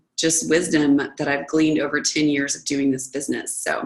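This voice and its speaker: Here a woman speaks with a very deep, low pitch. Vocal fry runs through her voice. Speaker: network marketing director. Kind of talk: team conference call training. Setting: conference call.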